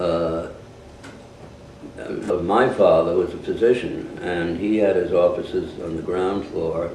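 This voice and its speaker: Amid noticeable background noise and audible room echo, a man with a New York accent speaks fairly slowly with long, frequent pauses. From New York City (Harlem). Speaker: war veteran. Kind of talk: family storytelling to grandchildren. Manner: halting.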